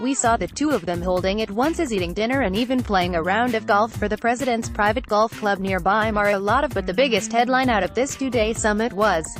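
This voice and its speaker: A woman's fairly high voice at a very fast pace with hardly any pauses, ordinary pitch variation, and music in the background. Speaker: news anchor. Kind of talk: TV news anchor broadcast.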